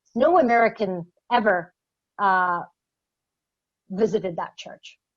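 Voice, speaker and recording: At a very slow pace, a woman of medium pitch talks with ordinary pitch variation. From Middle East. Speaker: government advisor. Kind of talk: Q&A panel answer. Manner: hesitant, many fillers and repetitions.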